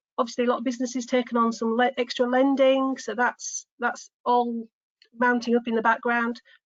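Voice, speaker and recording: A woman with a Yorkshire accent speaks at a fairly quick pace in a fairly high pitch, her intonation monotone and flat. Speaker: business development manager. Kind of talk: business webinar presentation.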